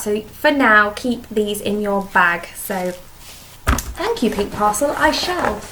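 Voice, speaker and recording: With a British accent, a woman speaks at a fairly high pitch with ordinary pitch variation, amid audible room echo and noticeable background noise. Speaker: beauty vlogger. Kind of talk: casual vlog product review. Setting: home dining room. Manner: fast.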